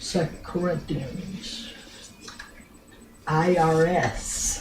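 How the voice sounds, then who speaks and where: A woman speaks very slowly with a fairly low pitch. Her intonation is fairly even, and background noise is noticeable. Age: old. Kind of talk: storytelling to family.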